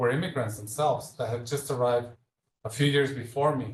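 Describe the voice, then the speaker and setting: A man's somewhat breathy voice, fairly high in pitch, with ordinary pitch variation. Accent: slight Mexican. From Mexico (Leon, central Mexico). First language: Spanish. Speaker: speaker series guest, healthcare leader. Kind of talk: public talk with Q&A.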